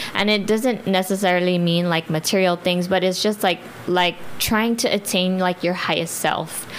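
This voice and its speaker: A woman speaks with fairly even intonation and very even loudness. Noticeable background noise is present. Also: medium pitch for a woman, moderate pace. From Guam. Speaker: clothing brand owner and nurse. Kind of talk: interview. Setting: studio. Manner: hesitant, many fillers.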